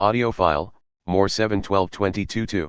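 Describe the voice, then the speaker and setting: Against a quiet background, a man puts on a character voice at a fairly low pitch. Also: moderate pace. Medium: audio drama. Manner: monotone, clipped.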